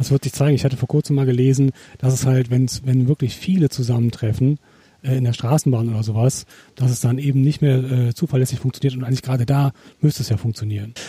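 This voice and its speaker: The voice is somewhat breathy, with a dark, mellow tone and fairly even intonation, moving at a very fast pace in a dry, close sound with no echo. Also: man, medium pitch for a man. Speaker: podcast co-host. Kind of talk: casual chat; interview. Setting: outdoors in a garden.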